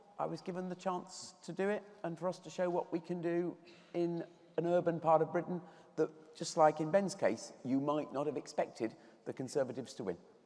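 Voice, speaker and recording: A moderate pace over noticeable background noise. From Birmingham, England. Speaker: politician, regional mayor. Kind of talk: panel discussion.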